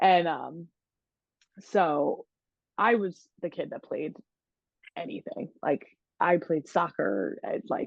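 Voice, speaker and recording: In an American accent, a woman speaks very slowly with long, frequent pauses. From Philadelphia area, US. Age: 20s. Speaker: college lacrosse player. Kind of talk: podcast interview. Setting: video call. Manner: energetic.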